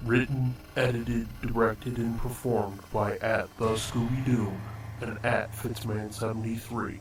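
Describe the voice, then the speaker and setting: A man performs a put-on character voice at a moderate pace and medium pitch. Background noise is clearly audible. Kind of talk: horror trailer voice-over. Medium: solo performance. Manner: ominous, dramatic.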